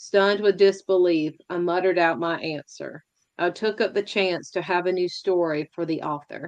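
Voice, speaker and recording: Over a quiet background, a woman with an ordinary speaking voice talks at a moderate pace, her pitch fairly low and her intonation fairly even. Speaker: poet. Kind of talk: poetry reading.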